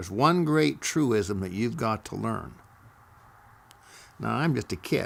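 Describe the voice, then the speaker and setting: Speaking very slowly with an American accent, a man uses a fairly low pitch and vocal fry. His pitch swings very widely. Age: 80s+. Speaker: storyteller recounting memoirs. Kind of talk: personal storytelling.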